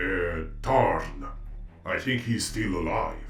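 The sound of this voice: A man's cartoonish character voice at a very slow pace, over clear background noise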